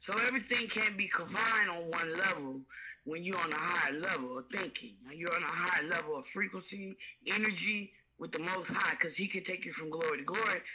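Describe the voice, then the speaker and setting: A woman speaks at a fairly quick pace with ordinary pitch variation and a fairly low pitch. Noticeable background noise runs underneath. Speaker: caller. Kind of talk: phone-in conversation.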